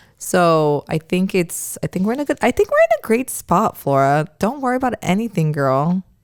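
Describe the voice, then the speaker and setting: Recorded dry and close with no echo, a woman talks at a moderate pace with hardly any pauses, her animated tone marked by very wide pitch swings. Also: medium pitch for a woman. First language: not English. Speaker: podcast host. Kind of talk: casual chat. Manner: casual, animated.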